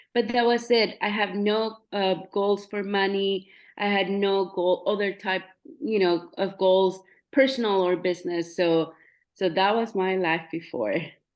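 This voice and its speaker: The woman has a Spanish accent and medium pitch, with fairly even intonation. Her pace is fairly slow against a quiet background. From Mexico. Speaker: realtor. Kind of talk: interview testimony. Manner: halting.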